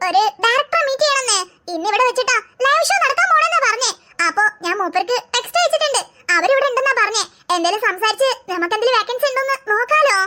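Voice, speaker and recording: An upbeat, cartoonish character voice from a woman, extremely high-pitched, at a fairly quick pace with very even loudness. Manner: reassuring, upbeat.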